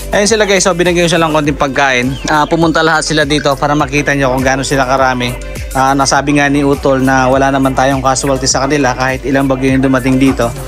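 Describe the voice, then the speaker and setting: Over clear music in the background, a man talks at a very fast pace with fairly even intonation and very even loudness. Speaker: backyard poultry keeper vlogger. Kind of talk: casual vlog chat. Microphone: phone near.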